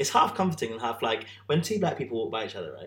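The speaker is a man. He talks with a British accent. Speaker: podcast co-host. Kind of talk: casual chat. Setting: in person, sharing one microphone.

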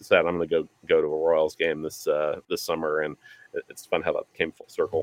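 With an American accent, a man talks at a fairly quick pace, his loudness swinging widely, in a dry, close recording with no echo. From eastern Pennsylvania, near Philadelphia. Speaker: baseball fan. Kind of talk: casual chat.

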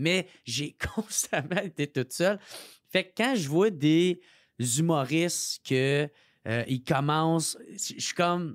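Speaking in a Quebec accent, the voice moves very slowly with lively intonation. The sound is dry and close with no echo, in a very clean recording with a silent background. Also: man, fairly high pitch for a man. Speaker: comedian. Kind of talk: casual chat. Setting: studio.

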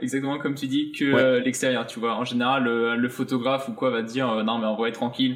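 Very fast talking with hardly any pauses, ordinary pitch variation, and noticeable background noise. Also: man. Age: 20s. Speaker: fashion model. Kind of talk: casual chat.

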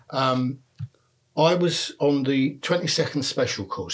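A man with a London accent and ordinary pitch variation. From North London, Enfield. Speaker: retired police detective. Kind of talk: interview. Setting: at the host's home. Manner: halting, repeats words.

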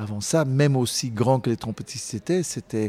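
Recorded very cleanly against a silent background, a man with a medium pitch and a dark, mellow tone speaks at a moderate pace in a dry, close sound with no echo. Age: 50s. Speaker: jazz singer. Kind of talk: interview conversation. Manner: halting, with many repetitions.

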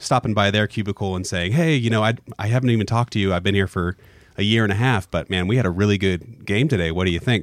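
On a very clean recording with a silent background and a dry, close sound with no echo, a man with a fairly low voice talks very fast with ordinary pitch variation. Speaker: podcast host. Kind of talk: podcast intro and outro.

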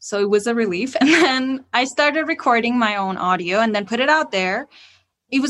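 With a Persian accent, a woman talks at a fairly quick pace, her fairly high voice moving in lively intonation. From Iran. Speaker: podcast host. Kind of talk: interview on podcasting tips.

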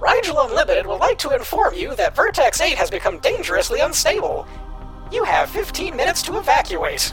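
With clear music in the background, a man does a put-on character voice at an extremely high pitch and a fairly quick pace. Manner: robotic announcement.

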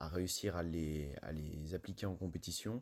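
On a very clean recording with a silent background, a man speaks with a dark, mellow tone and fairly even intonation. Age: young. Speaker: ski jumper. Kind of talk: interview answers.

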